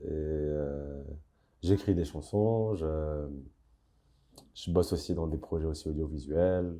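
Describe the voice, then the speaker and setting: A man's very deep, low voice, dark and mellow in tone, at a very slow pace with ordinary pitch variation. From Casablanca, Morocco. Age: young. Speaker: singer-songwriter. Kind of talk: interview answer. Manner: hesitant, thoughtful.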